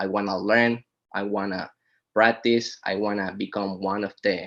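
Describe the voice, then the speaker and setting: A man speaks with a fairly low pitch at a fairly slow pace in a monotone, flat intonation. The background is quiet. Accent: Spanish. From Venezuela. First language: Spanish. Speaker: boat detailer. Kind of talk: casual interview.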